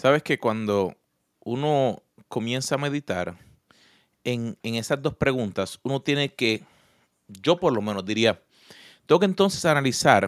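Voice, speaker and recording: Speaking with a Puerto Rican accent, a man uses a medium pitch and a fairly slow pace. The recording is very clean and dry, with a silent background and no echo. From Puerto Rico. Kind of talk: casual faith talk.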